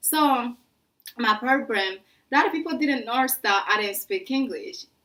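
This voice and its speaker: A woman talks at a fairly high pitch, her voice swinging very widely up and down. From French-speaking Africa. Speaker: vlogger. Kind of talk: casual storytelling vlog.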